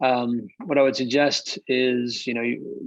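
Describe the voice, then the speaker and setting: A man with an American accent. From United States. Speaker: investor panelist. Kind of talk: webinar panel discussion.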